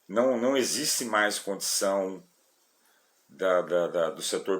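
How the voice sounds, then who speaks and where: A man speaks at a medium pitch. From São Paulo, Brazil. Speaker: rideshare driver and vlogger. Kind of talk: casual vlog talk to viewers. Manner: halting, with many repetitions and fillers.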